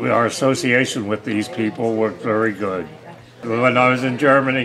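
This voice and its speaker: Noticeable background noise sits behind a man speaking in an American accent with ordinary pitch variation. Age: 80s+. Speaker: war veteran. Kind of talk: interview answer.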